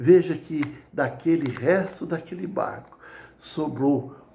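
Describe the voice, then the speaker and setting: There is audible room echo in the recording. Noticeable background noise can be heard too. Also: man. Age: 60s. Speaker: lay preacher. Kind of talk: sermon. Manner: hesitant with repetitions.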